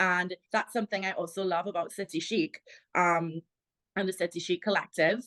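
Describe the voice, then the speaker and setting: A woman with a Trinidadian accent speaks at medium pitch with ordinary pitch variation against a quiet background. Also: dry, close sound with no echo. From Trinidad and Tobago. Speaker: plus-size model and content creator. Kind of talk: interview.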